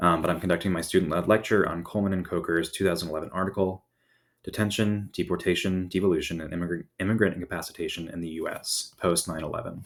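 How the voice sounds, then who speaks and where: A man speaks at a very fast pace. His very deep, low voice keeps a fairly even intonation. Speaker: graduate student. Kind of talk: student presentation lecture. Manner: reading a script.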